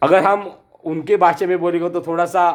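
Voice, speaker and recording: A high-pitched male voice with ordinary pitch variation. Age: 60s. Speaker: artist. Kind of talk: commemorative speech. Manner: halting, with repetitions.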